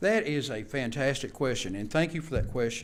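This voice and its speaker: Audible room echo surrounds a man at a fairly high pitch who speaks at a moderate pace with very wide pitch swings. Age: 60s. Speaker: vocational instructor. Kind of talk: board meeting presentation. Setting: public board meeting.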